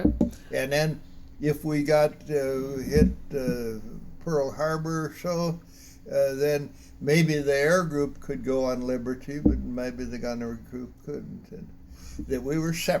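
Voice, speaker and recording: With fairly even intonation, the speech proceeds at a very slow pace over noticeable background noise. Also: man, fairly high pitch for a man. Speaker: WWII Navy veteran. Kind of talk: interview answer. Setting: casual home interview.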